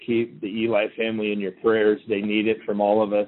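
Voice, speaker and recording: A man is speaking. His pitch sits fairly low. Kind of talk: radio show break announcement. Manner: casual, quick, conversational.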